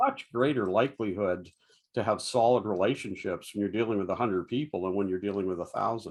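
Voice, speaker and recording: Talking at a very fast pace, a man with a fairly low pitch and ordinary pitch variation is heard against a quiet background. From Canada, Toronto area (born in Dublin). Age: 70s. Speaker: pastor and author. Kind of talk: podcast interview.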